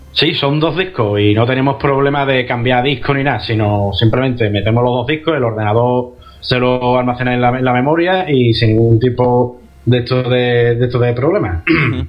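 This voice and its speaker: Against noticeable background noise and audible room echo, a man speaks at a moderate pace and medium pitch, with ordinary pitch variation and very even loudness. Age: 30s. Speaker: retro gaming guest. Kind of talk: casual chat. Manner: halting, repeats words.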